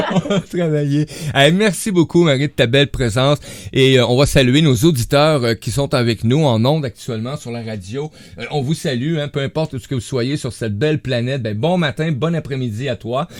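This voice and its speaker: At a moderate pace comes a plain, everyday voice with ordinary pitch variation. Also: man, fairly high pitch for a man. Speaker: radio host. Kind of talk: casual chat.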